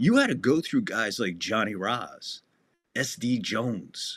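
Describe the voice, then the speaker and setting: A man speaks at a very slow pace with a New Jersey accent, using a medium pitch and ordinary pitch variation. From New Jersey (Asbury Park). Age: 60s. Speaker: wrestling podcast host. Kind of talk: casual chat. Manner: animated.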